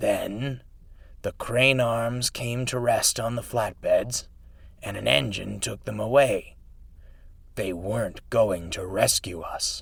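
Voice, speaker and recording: Putting on a character voice, a man speaks at a fairly slow, medium pitch, wheezy, raspy and hoarse, with a weary tone, breaking into cackling between long, frequent pauses. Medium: read story. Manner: cackling, world-weary.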